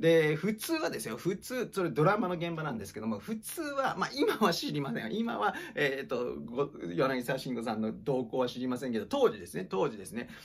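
A man at a fairly quick pace, with very wide pitch swings and big swings in loudness. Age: 40s. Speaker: acting teacher and former actor; acting teacher. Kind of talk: casual monologue livestream. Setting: livestream recorded on iPad. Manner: polite, filler-heavy. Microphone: phone near.

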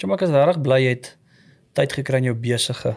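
A man's voice with ordinary pitch variation, the background quiet. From South Africa, farm near Potchefstroom; South Africa. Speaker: podcast host. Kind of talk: casual chat. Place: studio. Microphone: studio mic.

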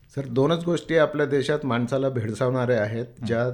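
A man has an unremarkable speaking voice at medium pitch with ordinary pitch variation. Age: 60s. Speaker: temple trust chairman and builder. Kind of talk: radio interview.

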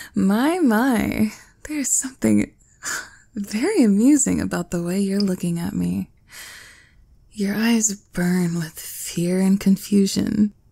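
The tone is dark and mellow, somewhat breathy, and the delivery is very slow. The recording is very clean, with a silent background. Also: woman. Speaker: ASMR roleplay performer. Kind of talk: ASMR roleplay, scripted performance as a cruel, haughty empress, intimate and teasing. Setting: close-mic ASMR recording, listener addressed as nearby. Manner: imperious, haughty, dripping with condescension, with smug laughs and sighs; slow, sultry and teasing, shifting to indulgent purring when she feeds and praises him.

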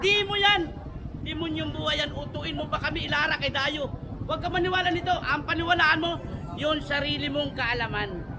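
The room echo is audible as this man speaks fairly quickly. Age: 50s. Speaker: street shoe vendor. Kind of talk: sales pitch. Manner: animated.

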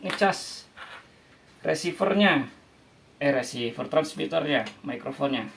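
A man at a fairly slow pace, with vocal fry and ordinary pitch variation.

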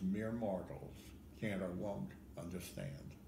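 There is noticeable background noise behind this man. He speaks at a very slow pace with ordinary pitch variation. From Ohio. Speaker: poet. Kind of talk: poetry reading. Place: home room. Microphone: phone near.

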